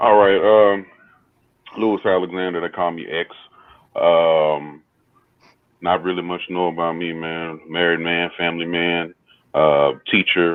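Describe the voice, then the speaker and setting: A man with a Texas accent speaks in a very deep, low pitch at a fairly slow pace. His intonation is monotone and flat, with long, frequent pauses. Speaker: teacher and copy editor. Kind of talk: casual panel discussion.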